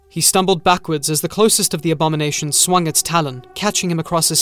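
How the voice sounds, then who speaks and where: Music plays in the background. A man talks over it at a very fast pace. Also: hardly any pauses. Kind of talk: sci-fi horror audiobook narration, reading aloud. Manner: dramatic, tense, and gravelly-toned storytelling with suspenseful pacing; shifts into character voices for dialogue.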